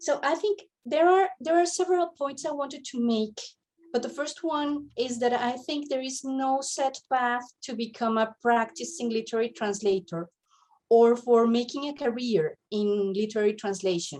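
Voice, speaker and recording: In a non-native accent, the speaker's intonation is lively. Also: woman, high pitch for a woman, moderate pace. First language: not English. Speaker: literary translator. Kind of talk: panel talk, partly read from notes. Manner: halting, many fillers and repetitions.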